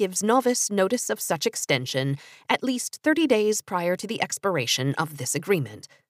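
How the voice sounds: A natural reading voice is what comes through.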